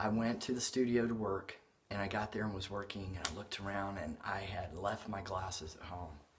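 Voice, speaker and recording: A man speaks at a fairly low pitch with a resonant, somewhat breathy voice and fairly even intonation. Audible room echo surrounds him. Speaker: artist and video blogger. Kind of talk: casual vlog update. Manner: halting, many fillers.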